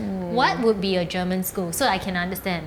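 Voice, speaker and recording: Noticeable background noise runs through the clip. A woman speaks fairly quickly. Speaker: podcast host. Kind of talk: podcast interview questions.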